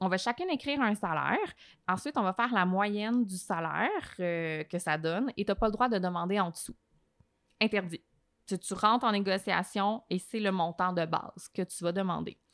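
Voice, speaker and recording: On a very clean recording with a silent background, a woman speaks at a medium pitch in a dry, close sound with no echo. Her pace is moderate and her pitch varies in an ordinary way. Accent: Quebec. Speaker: journalist and TV host. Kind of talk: podcast interview. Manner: animated.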